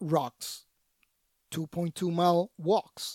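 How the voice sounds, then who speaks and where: The voice comes in a Puerto Rican accent, with a dry, close sound and no echo. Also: man. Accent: Puerto Rican Spanish accent, rolled R's. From Puerto Rico. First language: Spanish. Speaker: Special Forces veteran, anti-trafficking founder. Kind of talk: casual interview.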